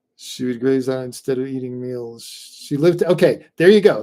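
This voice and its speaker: With a dark, mellow tone, a man speaks at a moderate pace with ordinary pitch variation. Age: 60s. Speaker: pet nutrition expert hosting a live Q&A. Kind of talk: live stream Q&A. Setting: live stream from home. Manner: halting, many fillers and repeats.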